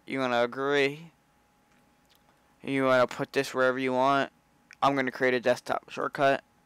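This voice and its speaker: In a very clean recording with a silent background and dry, close sound with no echo, a man at medium pitch speaks at a moderate pace in a monotone, flat intonation, with long, frequent pauses. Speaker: YouTuber. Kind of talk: tutorial. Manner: hesitant, many fillers.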